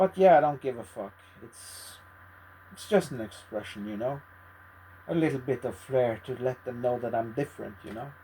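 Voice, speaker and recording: A man at medium pitch speaks somewhat breathily at a moderate pace, with lively intonation and long, frequent pauses. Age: 50s. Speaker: video blogger. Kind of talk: casual monologue.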